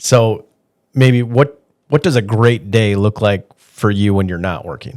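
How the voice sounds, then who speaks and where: This man speaks with a Wisconsin accent at a fairly low pitch. His pace is fairly slow, with ordinary pitch variation. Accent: Upper Midwest (Wisconsin). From Wisconsin (Green Bay area). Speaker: podcast host, loan officer. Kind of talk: podcast interview.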